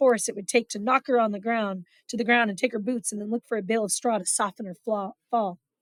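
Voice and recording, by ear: Someone is reading aloud in a natural voice with fairly even intonation in a quiet background.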